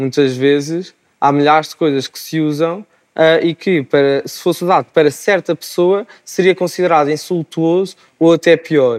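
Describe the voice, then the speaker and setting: At a moderate pace and with ordinary pitch variation, a man with an unremarkable speaking voice talks in a dry, close sound with no echo. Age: 20s. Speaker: medical student, wheelchair user. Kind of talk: TV panel discussion.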